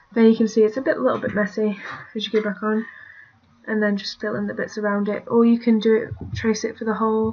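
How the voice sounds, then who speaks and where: In a British accent, the speaker sounds somewhat breathy, with ordinary pitch variation. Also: woman. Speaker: digital art tutorial maker. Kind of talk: tutorial. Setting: screen recording at computer. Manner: casual, hesitant with fillers.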